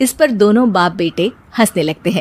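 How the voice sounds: A woman speaks with big pitch swings.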